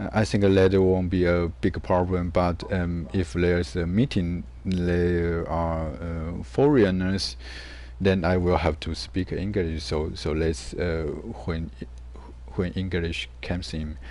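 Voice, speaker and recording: A man's very deep, low voice in a non-native accent, dark and mellow in tone, at a very slow pace with ordinary pitch variation and audible room echo. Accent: non-native English accent, self-described. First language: Mandarin. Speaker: gaming streamer. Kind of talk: casual chat. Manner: halting, many fillers and repetitions.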